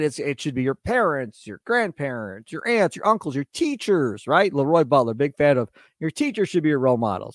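An American-accented man speaks at a fairly quick pace in a fairly high pitch, animated and with lively intonation, on a very clean recording with a silent background and a dry, close sound with no echo. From Wisconsin. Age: 40s. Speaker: sports radio host. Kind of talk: solo sports podcast monologue.

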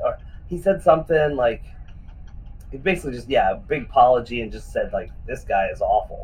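A man speaking at a moderate pace. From Western Pennsylvania. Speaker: retired pro wrestler. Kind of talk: interview.

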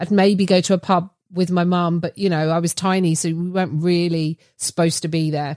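A woman with an English accent speaks at medium pitch and a fairly quick pace. The sound is dry and close with no echo. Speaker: comedian. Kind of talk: casual chat. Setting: video call.

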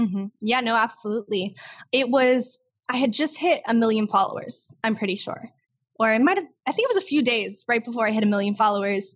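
A woman's unremarkable speaking voice, fairly high, fairly quick and with lively intonation. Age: young. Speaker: TikTok creator. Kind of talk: interview.

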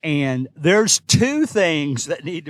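In a very clean recording with a silent background, a man with a Kentucky accent speaks at a fairly slow pace, the sound dry and close with no echo. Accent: Kentucky Southern US. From Kentucky, US. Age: 60s. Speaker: substitute teacher, podcast host. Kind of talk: casual solo podcast monologue. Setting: recording in a parked car or parking garage.

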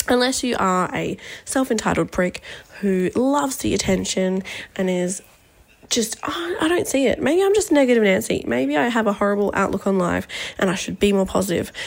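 The speaker moves at a fairly quick pace with lively intonation. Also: woman, medium pitch for a woman. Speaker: listener sending voice memo. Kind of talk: casual voice memo rant. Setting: voice memo recorded during work meeting. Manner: rambling, fast.

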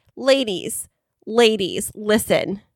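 An animated woman with an American accent speaks at a fairly high pitch, the sound dry and close with no echo. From California. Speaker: podcast co-host. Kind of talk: casual chat. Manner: animated, teasing.

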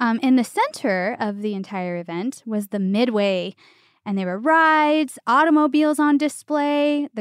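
A woman speaks at a moderate pace with lively intonation and a fairly high pitch, in an ordinary speaking voice. The background is quiet. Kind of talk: mock carnival barker spiel in a casual chat.

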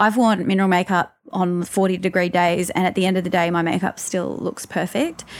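In an Australian accent, a woman speaks at a fairly quick pace with hardly any pauses. Her loudness is very even and her intonation fairly even. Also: medium pitch for a woman. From Newcastle, Australia. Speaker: makeup artist and beauty blogger. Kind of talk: interview conversation.

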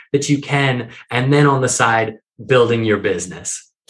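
A man talks at a moderate pace in a somewhat breathy voice. His pitch is fairly high. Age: 30s. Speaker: author and entrepreneur. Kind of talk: interview.

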